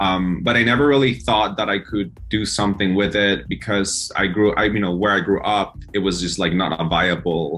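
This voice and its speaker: A man with a Spanish accent speaks at a moderate pace and fairly low pitch, with ordinary pitch variation. His loudness stays very even, and he hardly pauses at all. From El Salvador. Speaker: singer-songwriter. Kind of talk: interview.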